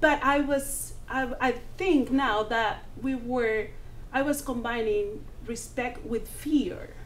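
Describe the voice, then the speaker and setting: A woman's high voice at a very slow pace with ordinary pitch variation and audible room echo. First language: not English. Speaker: community TV talk show host. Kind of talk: panel discussion. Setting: TV studio.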